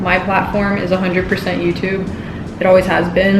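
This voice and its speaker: With an American accent, a woman talks at a fairly quick pace in a medium pitch, over noticeable background noise and audible room echo. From Texas, southern border town. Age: 20s. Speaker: YouTuber / vlogger. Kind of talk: casual chat. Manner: casual, filler-heavy.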